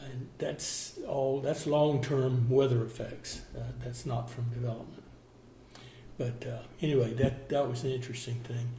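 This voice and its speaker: The speech has a Southern US accent and a flat, monotone intonation. Background noise is noticeable. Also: man. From Florida. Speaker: contractor and former cattle rancher. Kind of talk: oral history interview answer.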